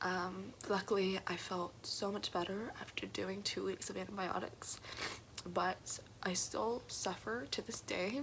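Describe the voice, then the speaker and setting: Over noticeable background noise, a woman speaks at a very slow pace with a medium pitch and ordinary pitch variation. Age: young. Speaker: college student. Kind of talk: personal story told to camera.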